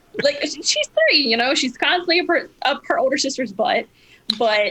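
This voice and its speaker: Projecting her raised voice at a moderate pace, a woman speaks in a high pitch with very wide pitch swings. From southern Louisiana. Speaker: teacher and mother. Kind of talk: casual chat. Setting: remote call.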